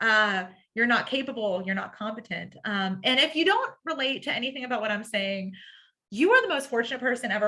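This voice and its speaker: The speaker's voice is bright and sharp, with a bubbly, animated tone and lively intonation. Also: woman. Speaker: workshop trainer in the helping professions. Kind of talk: online training lecture. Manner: upspeak, sentences ending with a rising inflection.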